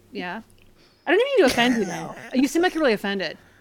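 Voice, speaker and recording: Amid noticeable background noise, a woman with an American accent speaks in a high voice with very wide pitch swings. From US Pacific Northwest, Oregon. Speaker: witch, author and tarot adviser. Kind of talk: casual chat.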